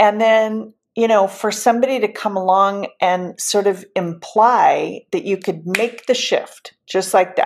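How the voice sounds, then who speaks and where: A woman with a normal speaking voice talks fairly slowly at a fairly high pitch, her intonation fairly even, on a very clean recording with a silent background. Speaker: podcast host. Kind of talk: podcast conversation.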